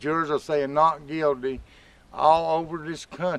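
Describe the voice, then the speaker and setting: Fairly slow speech from a man, pitched fairly high. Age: 60s. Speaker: marijuana advocate. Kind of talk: casual talk to camera.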